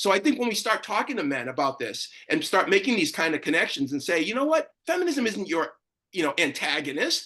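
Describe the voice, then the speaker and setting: An animated, raised, projected man's voice with an American accent, high in pitch, fairly quick, with very wide pitch swings. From Boston. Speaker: panelist, gender activist. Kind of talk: panel discussion. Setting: video call. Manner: fast.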